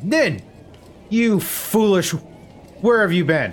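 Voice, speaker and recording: Using a put-on character voice, a man speaks fairly slowly in a gravelly, high-pitched voice. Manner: scolding.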